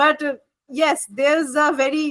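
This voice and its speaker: A woman speaks at a fairly slow pace. Her high-pitched voice has a bright, sharp tone. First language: Bengali. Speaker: MBA student. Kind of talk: group discussion.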